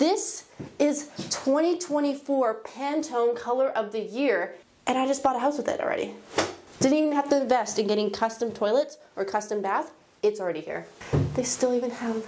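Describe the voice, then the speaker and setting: Over light background noise, a woman speaks at a moderate pace with a high pitch and lively intonation. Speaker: home renovation vlogger. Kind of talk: casual vlog chat. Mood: playful, amused. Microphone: lapel.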